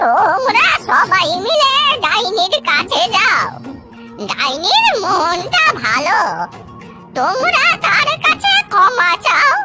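An extremely high-pitched, cartoonish character voice crawls along at a very slow pace with very wide pitch swings. Clear music plays in the background.

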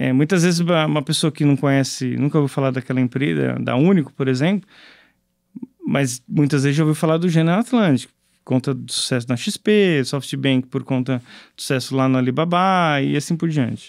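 Against a quiet background with a dry sound and no echo, a man speaks at a moderate pace in a fairly high pitch, with ordinary pitch variation and big swings in loudness. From São Paulo, Brazil (Zona Leste); São Paulo, Brazil. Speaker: startup co-founder; guest. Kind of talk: interview; interview answer. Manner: halting, repeated words. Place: studio. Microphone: studio mic.

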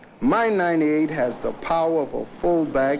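This man's intonation is lively. He talks at a fairly slow pace. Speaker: football coach in an ad. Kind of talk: commercial testimonial. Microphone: old recording.

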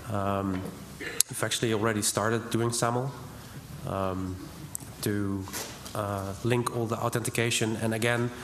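A man speaks at a fairly slow pace with monotone, flat intonation. Audible room echo and light background noise are present. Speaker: hackerspace member. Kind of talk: conference talk. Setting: stage with audience. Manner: hesitant, many fillers. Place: hall. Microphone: podium.

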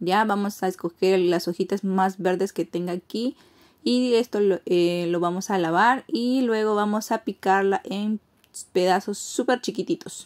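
With a plain, everyday voice, a woman speaks fairly slowly at a medium pitch with ordinary pitch variation. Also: quiet background. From Peruvian Amazon, Iquitos; Peru. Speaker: cooking vlogger. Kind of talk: cooking tutorial. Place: kitchen. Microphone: phone near.

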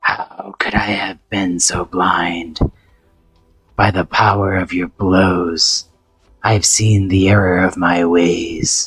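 Over music in the background, a man uses a raspy, put-on character voice with a very deep, low pitch at a very slow pace. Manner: solemn, remorseful.

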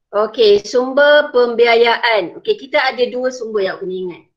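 The pace is moderate and the intonation lively. The background is quiet. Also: woman. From Malaysia. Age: 40s. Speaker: secondary school teacher. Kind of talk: online lesson. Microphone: video call.

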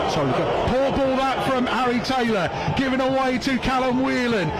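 An extremely high-pitched male voice amid noticeable background noise. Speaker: match commentator. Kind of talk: live football commentary. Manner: fast, fluent play-by-play delivery.

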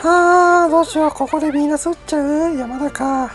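A man is speaking. Music plays in the background. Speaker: game streamer. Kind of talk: casual gameplay commentary. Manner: quiet, whispered.

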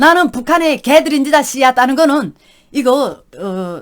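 On a very clean recording with a silent background, a woman with a North Korean accent speaks in an animated tone. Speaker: YouTube vlogger, North Korean defector. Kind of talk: casual storytelling monologue.

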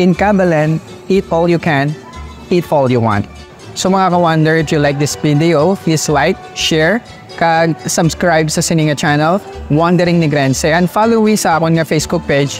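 Faint music sits under this man's voice. He talks at a moderate speed, his pitch varying in an ordinary way. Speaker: food vlogger. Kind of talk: vlog outro to camera. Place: cafe.

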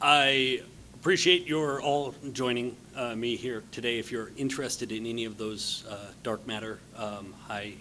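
A man speaks at a moderate pace with ordinary pitch variation. There is light background noise. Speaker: conference speaker. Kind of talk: conference talk. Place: hall. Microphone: podium.

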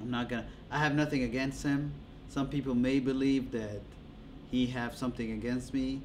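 A man speaks at a moderate pace in a flat, monotone way, with long, frequent pauses and light background noise. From Djibouti. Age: 30s. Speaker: interviewee. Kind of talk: interview. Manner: casual, with frequent laughter. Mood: calm, mildly aggrieved. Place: studio.

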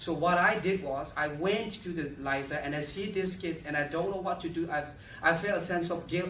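Over light background noise and audible room echo, a man with a fairly high pitch speaks at a moderate pace with ordinary pitch variation. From Myanmar. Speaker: activist and refugee-aid founder; conference presenter. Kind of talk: lecture with Q&A. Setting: stage with audience. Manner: halting. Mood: earnest, impassioned. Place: hall. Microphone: podium.

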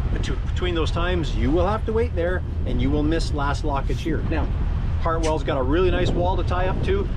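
Loud background noise accompanies a man talking at a moderate pace. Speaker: boater vlogger. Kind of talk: casual vlog chat. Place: boat. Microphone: phone near.

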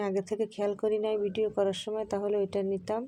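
Her tone dark and mellow, a woman speaks at a medium pitch in a monotone, flat intonation. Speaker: vlogger. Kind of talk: walking vlog narration. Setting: outdoors. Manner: stumbling over words; casual, chatty.

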